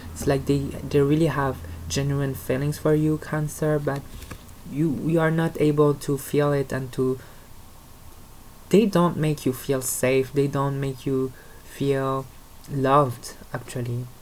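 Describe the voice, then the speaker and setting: In a French accent, a woman speaks at a fairly slow pace with a very deep, low pitch, fairly even intonation and long, frequent pauses. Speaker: tarot reader. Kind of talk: tarot reading. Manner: halting, with false starts.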